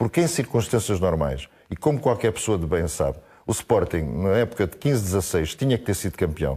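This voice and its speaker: Very wide pitch swings and vocal fry mark a man's fairly low, dark, mellow voice at a moderate pace, recorded very cleanly against a silent background. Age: 60s. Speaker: football pundit. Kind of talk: heated debate. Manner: animated.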